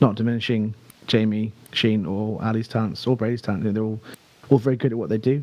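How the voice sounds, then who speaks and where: Using fairly even intonation, a man speaks at a fairly quick pace and a medium pitch. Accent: British. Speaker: singer in a band. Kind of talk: podcast interview. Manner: hesitant, many fillers.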